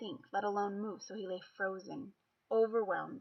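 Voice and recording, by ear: Against a quiet background, someone reads aloud in a natural voice with fairly even intonation.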